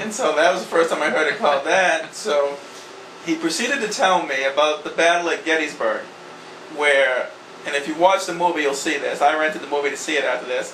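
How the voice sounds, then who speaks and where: With a strong Boston accent, a man speaks fairly quickly at a fairly high pitch with ordinary pitch variation, amid noticeable background noise and audible room echo. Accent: strong New England, Boston. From Maine. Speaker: land surveying company president. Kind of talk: storytelling interview.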